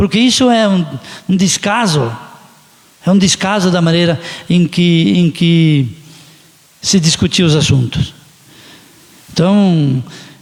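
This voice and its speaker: Noticeable background noise sits behind the recording. A man talks at a fairly slow pace with ordinary pitch variation. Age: 60s. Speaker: city councillor. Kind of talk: council session speech. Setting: council chamber.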